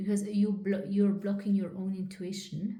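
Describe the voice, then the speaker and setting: In a non-native accent, a woman speaks at a moderate pace. Her tone is dark and mellow and somewhat breathy. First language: not English. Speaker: psychic reader / channeller. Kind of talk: spiritual channeling reading to camera.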